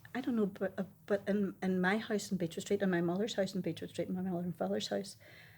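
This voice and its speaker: In a very clean recording with a silent background, a woman with a Derry accent speaks at a fairly quick pace. Her medium-pitched voice is somewhat breathy, with fairly even intonation. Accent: Derry Northern Irish. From Northern Ireland, Derry. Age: 70s. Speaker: eyewitness interviewee. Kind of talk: oral history interview. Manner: emphatic.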